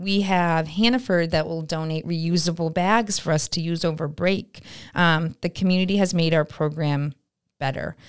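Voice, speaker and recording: A woman with an American accent in an ordinary speaking voice, fairly low-pitched, with fairly even intonation at a moderate pace, on a very clean recording with a silent background. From upstate New York, Glens Falls. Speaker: nonprofit director. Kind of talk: casual interview. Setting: studio.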